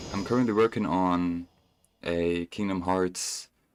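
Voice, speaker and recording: A man with a German accent speaks at a very deep, low pitch with ordinary pitch variation. The recording is very clean, with a silent background. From Germany. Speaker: gaming streamer. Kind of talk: casual chat. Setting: live stream while gaming. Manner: casual, halting with self-corrections.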